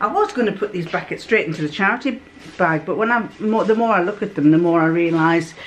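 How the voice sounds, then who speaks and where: Lively intonation marks this woman's speech over noticeable background noise. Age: old. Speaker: home sewist. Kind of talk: casual show-and-tell of fabric to camera.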